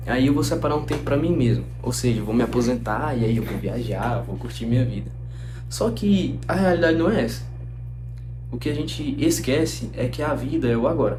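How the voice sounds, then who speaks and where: Audible room echo and noticeable background noise surround the speech. A man talks at a moderate pace. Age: 20s. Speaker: medical student and YouTuber. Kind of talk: casual reflective talk to camera. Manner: conversational.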